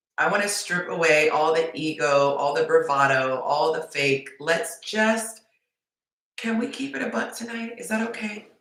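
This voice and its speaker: Speaking at a moderate pace, a woman uses a fairly low pitch and lively intonation. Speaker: dating coach. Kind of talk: livestream talk to viewers. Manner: passionate; less bubbly than usual.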